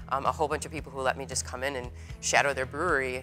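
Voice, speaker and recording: Faint music plays in the background. Over it, a woman speaks with a very deep, low pitch. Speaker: guest. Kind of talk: interview answer. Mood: lively, laughing, animated. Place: factory. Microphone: lapel.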